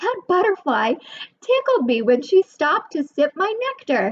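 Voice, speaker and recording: Using a squeaky, put-on character voice, a woman speaks at a moderate pace with an extremely high pitch and very wide pitch swings. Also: dry, close sound with no echo. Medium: read story.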